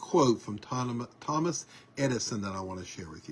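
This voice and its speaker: A man's somewhat breathy voice at medium pitch. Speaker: online news show host. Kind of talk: casual monologue. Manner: hesitant with many fillers.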